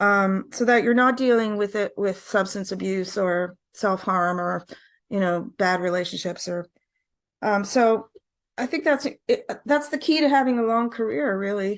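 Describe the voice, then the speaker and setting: This woman has an unremarkable speaking voice at a medium pitch. She talks at a fairly slow pace with ordinary pitch variation over a quiet background. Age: 60s. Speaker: singer-songwriter. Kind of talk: interview.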